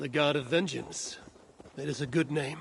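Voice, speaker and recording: Using a put-on character voice, a man speaks at a moderate pace in a raspy, fairly high pitch. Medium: video game.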